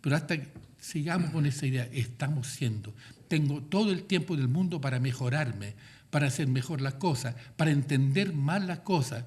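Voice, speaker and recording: Somewhat breathy, a man speaks at a fairly high pitch with ordinary pitch variation, and audible room echo surrounds him. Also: moderate pace. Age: 80s+. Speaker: cultural manager and artist giving a guest talk. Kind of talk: lecture.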